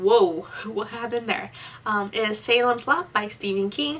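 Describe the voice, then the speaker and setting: Lively intonation from a woman with a fairly high pitch, over noticeable background noise. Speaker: book reviewer. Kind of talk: casual talk to camera.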